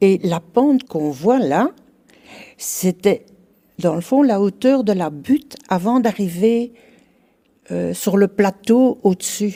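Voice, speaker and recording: This woman's voice has a dark, mellow tone and lively intonation. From Belgium, Brussels. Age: 80s+. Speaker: retired resident. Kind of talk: interview testimony.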